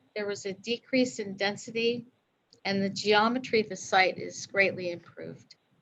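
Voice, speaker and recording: Soft-spoken, a woman talks at a moderate pace and medium pitch with ordinary pitch variation. Her loudness swings widely. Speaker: applicant's representative at city council. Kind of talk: public hearing presentation. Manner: hesitant, many fillers. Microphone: too quiet, hard to hear.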